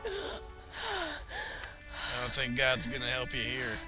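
A man's very slow delivery plays out with music in the background. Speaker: voice actor. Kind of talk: casual gaming commentary. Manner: excitable, profane.

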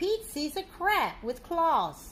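Her voice is extremely high-pitched with a fairly bright tone. The woman speaks slowly, with big pitch swings.

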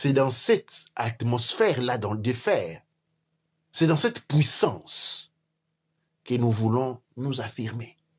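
The voice belongs to a man with a medium pitch and lively intonation. It sounds somewhat breathy. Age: 40s. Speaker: teacher of African spirituality and history. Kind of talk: lecture-style discussion.

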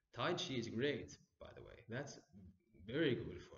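Vocal fry runs through speech at a moderate pace, with audible room echo. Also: man. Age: 30s. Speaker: meditation teacher. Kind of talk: lecture. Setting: stage with audience. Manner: halting. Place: home room. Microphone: camera far.

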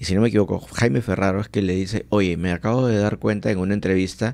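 A very fast, fairly low male voice with very even loudness and ordinary pitch variation, over a quiet background. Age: 40s. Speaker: podcast host. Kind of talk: casual chat. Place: studio. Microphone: studio mic.

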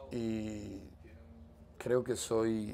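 Over light background noise, a man talks in a fairly low, monotone voice with flat intonation. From eastern Cuba. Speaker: political dissident. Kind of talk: interview testimony. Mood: earnest, firm. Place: home room.

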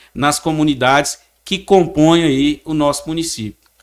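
A man talks fairly slowly, with a quiet background behind him. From Chapada do Norte, Minas Gerais, Brazil; Minas Gerais, Brazil. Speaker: town mayor. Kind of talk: political interview. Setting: studio. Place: studio. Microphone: studio mic.

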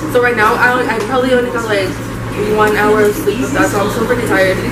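Against loud background noise, a woman speaks at a very fast pace. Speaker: travel vlogger. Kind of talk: casual vlog chat. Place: cafe. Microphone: phone near.

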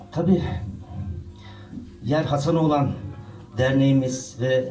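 Fairly slow, fairly even-toned male speech against noticeable background noise. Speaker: poet. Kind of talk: speech to audience. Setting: live event hall.

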